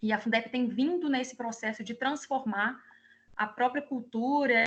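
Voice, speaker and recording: A woman talks at a moderate pace in a bright, sharp tone, with ordinary pitch variation. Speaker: guest lecturer, service designer. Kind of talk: online class lecture. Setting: video call.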